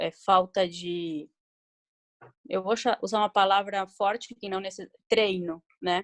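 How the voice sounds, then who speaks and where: A woman with a non-native accent, in a dry, close recording without echo. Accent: foreign accent noticeable in Portuguese. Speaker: municipal health council member. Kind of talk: video conference discussion. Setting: video call. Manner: halting.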